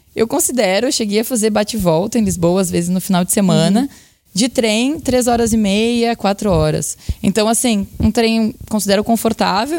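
A woman talks with a Brazilian accent and ordinary pitch variation. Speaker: journalist and university lecturer. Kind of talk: interview.

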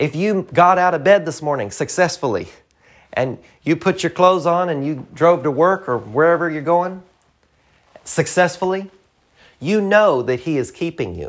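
A man speaks in a high voice with a Southern US accent, at a moderate pace with ordinary pitch variation. He pauses long and often on a very clean recording with a silent background. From US South, rural. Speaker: preacher, podcast host. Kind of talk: sermon.

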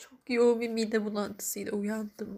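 A woman speaks in a somewhat breathy voice at a fairly high pitch. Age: 30s. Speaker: grieving daughter sharing a personal diary. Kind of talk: personal audio diary monologue. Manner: halting, emotional.

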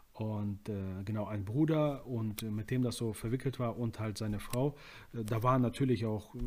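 Medium pitch from a man in a plain, everyday voice, fairly slow with fairly even intonation, on a very clean recording with a silent background. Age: 20s. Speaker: prison ministry volunteer. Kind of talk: casual interview.

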